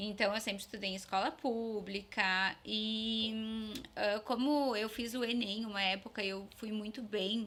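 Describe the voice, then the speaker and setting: Speaking at a fairly slow pace, a woman has a fairly high pitch and fairly even intonation. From Vacaria, Rio Grande do Sul, Brazil. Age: 30s. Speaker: dentist. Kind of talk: interview.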